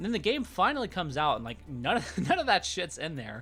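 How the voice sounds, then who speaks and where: The recording is very clean, with a silent background. A man with an American accent talks at a fairly quick pace. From Texas. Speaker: gaming YouTuber. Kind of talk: casual game review monologue. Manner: casual, filler-heavy with stumbles.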